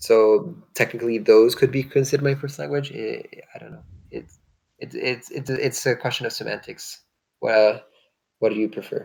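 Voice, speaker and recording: A man at a moderate pace, with long, frequent pauses and big swings in loudness. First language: French and Hungarian. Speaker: online strategy game streamer. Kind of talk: casual chat while gaming. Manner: hesitant, searching for words.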